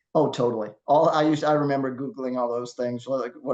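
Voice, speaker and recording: Speaking at a fairly quick pace, a man uses a medium pitch and monotone, flat intonation. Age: 60s. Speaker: masters CrossFit athlete and competition judge. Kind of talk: casual interview chat.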